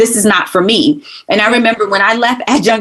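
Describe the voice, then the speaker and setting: Someone with an American accent speaks at a fairly quick pace with an animated tone and lively intonation. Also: woman. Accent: New York accent, with some North Carolina. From New York (Brooklyn). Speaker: former college instructor, communications professional. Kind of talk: casual podcast conversation.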